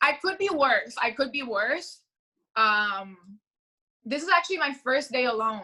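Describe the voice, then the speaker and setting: A woman speaks in a raised, projected voice with a high pitch and a bright, sharp tone, using very wide pitch swings at a fairly slow pace with long, frequent pauses. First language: Spanish. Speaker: upcoming music artist. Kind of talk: casual chat.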